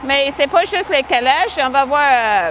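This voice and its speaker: A woman with an English accent and a high pitch talks at a moderate pace over noticeable background noise. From Manitoba, western Canada. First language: English (speaking French). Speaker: horse-drawn carriage driver. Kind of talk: interview.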